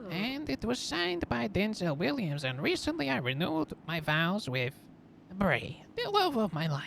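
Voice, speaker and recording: A man uses a put-on character voice with a high pitch and lively intonation. He talks at a moderate pace over clear background noise. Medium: game stream. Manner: sly, conspiratorial.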